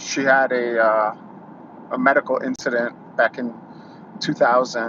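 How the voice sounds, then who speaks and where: Amid noticeable background noise, a man with a New York accent speaks at a fairly slow pace in a medium pitch with fairly even intonation. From New York City. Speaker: YouTuber. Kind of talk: casual monologue, live stream. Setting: YouTube live stream. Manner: halting, many fillers.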